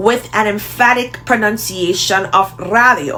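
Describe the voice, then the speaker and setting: A woman talks with a Jamaican accent. Music plays in the background. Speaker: language teacher. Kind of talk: tutorial.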